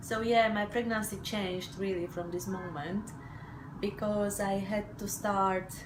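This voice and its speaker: The speech moves at a fairly slow pace with fairly even intonation. Audible room echo and noticeable background noise are present. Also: woman. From Slovakia. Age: 40s. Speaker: mother sharing birth story. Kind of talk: testimony. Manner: hesitant, many fillers.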